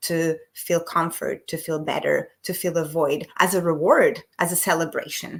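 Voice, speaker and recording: A woman with a non-native accent speaks at a fairly low pitch. The recording is very clean, with a silent background. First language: not English. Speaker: emotional eating coach, business owner. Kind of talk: podcast interview.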